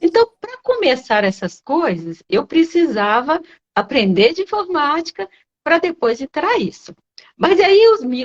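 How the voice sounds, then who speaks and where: A woman speaks at a high pitch with very wide pitch swings. Her pace is fairly slow. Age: 60s. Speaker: occupational nurse, investing student. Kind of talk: live-stream interview. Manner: halting, many fillers.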